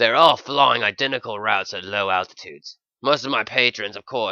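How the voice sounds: The speaker uses a natural reading voice with ordinary pitch variation against a quiet background.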